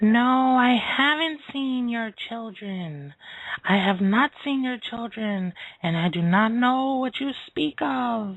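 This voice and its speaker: A put-on character voice with a fairly high pitch. It moves at a fairly slow pace. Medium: read story.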